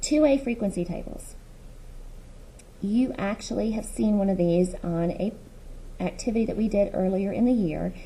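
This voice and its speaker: A woman's somewhat breathy voice carries a dark, mellow tone and ordinary pitch variation. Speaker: middle school math teacher. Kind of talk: recorded lesson. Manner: fast.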